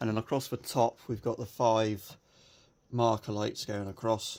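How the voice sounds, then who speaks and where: Fairly low in pitch, this man speaks with a British accent. His intonation stays fairly even. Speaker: RC model hobbyist. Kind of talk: casual show-and-tell video. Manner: subdued, low-energy.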